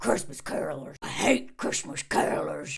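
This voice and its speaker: A raspy put-on character voice at a low-to-middle pitch. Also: moderate pace. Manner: angry, spiteful.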